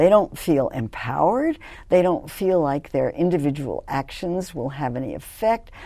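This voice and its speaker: On a very clean recording with a silent background, a woman with an American accent speaks at a moderate pace in a fairly low pitch, her dark, mellow tone making very wide pitch swings. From US, New York City and Los Angeles. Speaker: nutrition professor. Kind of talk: interview.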